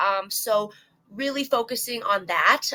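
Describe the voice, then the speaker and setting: A woman speaking at a very slow pace, with ordinary pitch variation. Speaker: bare knuckle fighter; gym owner. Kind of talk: interview answer.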